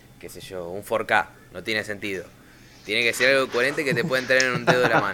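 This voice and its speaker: A man with a Rioplatense accent talks at a very fast pace and a medium pitch, with ordinary pitch variation. His loudness swings widely against noticeable background noise. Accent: Argentine Rioplatense Spanish. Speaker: podcast host. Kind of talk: casual chat.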